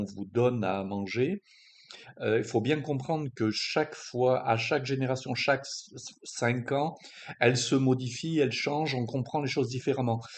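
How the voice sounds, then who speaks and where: At a fairly slow pace, a man talks in a medium-pitched voice. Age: 60s. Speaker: strength coach. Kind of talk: monologue explainer video. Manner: halting, many hesitations.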